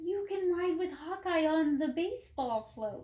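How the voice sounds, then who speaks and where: Using a put-on character voice at an extremely high pitch, a woman speaks in an enthusiastic tone at a moderate pace. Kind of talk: bedtime story. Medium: read story. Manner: enthusiastic, eager.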